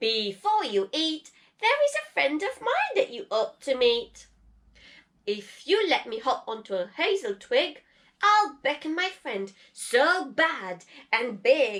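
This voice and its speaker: A woman puts on a high-pitched character voice with very wide pitch swings. She delivers it at a fairly slow pace. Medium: read story.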